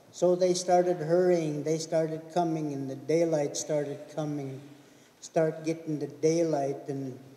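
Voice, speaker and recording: Speaking at a fairly slow pace with audible room echo, a man uses a monotone, flat delivery at a fairly high pitch. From Okanagan, British Columbia; British Columbia. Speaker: elder storyteller. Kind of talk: storytelling.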